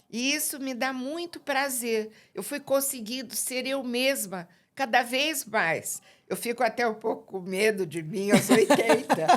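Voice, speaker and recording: A woman's high-pitched, lively voice at a fairly slow pace, in a very clean recording with a silent background. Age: 70s. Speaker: sociologist and psychoanalyst. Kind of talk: podcast interview.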